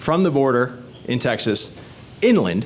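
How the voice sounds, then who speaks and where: Noticeable background noise surrounds a man talking in an animated tone. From born in the Caribbean. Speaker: state legislator running for reelection. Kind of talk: candidate talk at community meeting. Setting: community meeting with audience.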